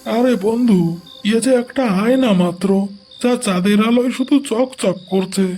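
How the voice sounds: In a cartoonish character voice, a man speaks with extremely high pitch at a moderate pace and very even loudness.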